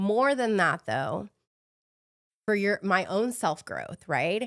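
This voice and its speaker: In a very clean recording with a silent background and a dry, close sound with no echo, a woman of medium pitch speaks at a very slow pace with lively intonation, vocal fry and very even loudness. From Mexico City, moved to US as a child. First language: Spanish. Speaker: fitness coach. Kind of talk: podcast interview. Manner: halting, self-correcting.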